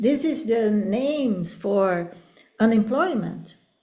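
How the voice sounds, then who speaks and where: A woman's somewhat breathy, fairly high voice with a Portuguese accent, lively intonation, a dark, mellow tone, and audible room echo. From Brazil. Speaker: professor. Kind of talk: academic webinar conversation. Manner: halting.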